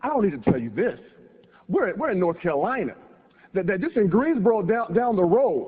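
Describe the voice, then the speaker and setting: A high-pitched man with an American accent talks at a fairly quick pace with very wide pitch swings and long, frequent pauses. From California. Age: 30s. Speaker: motivational speaker. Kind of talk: speech. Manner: repetitive, stammering.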